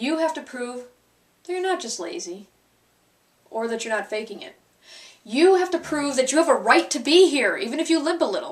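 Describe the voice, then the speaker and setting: Pitch swings very widely and loudness rises and falls in big swings, all at a moderate pace. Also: woman, high pitch for a woman. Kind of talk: spoken word poetry performance.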